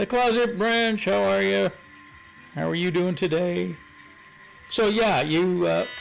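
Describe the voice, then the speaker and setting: At a fairly slow pace, with long and frequent pauses, the speech stays very even in loudness over noticeable background noise. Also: man. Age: 70s. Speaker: model railroad hobbyist streamer. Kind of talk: casual chat. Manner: halting.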